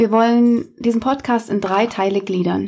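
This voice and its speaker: A woman speaks with a fairly high pitch and a somewhat breathy quality. Her intonation stays fairly even. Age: 30s. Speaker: podcast co-host, teacher. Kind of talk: casual family chat.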